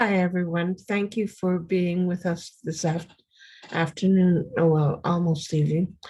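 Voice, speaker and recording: The voice is dark and mellow, somewhat breathy, and delivered in a flat monotone. It moves at a fairly slow pace with very even loudness. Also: woman, fairly low pitch for a woman. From Winnipeg, Manitoba, Canada. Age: 70s. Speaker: community elder and artist. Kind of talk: sharing circle introduction. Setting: video call.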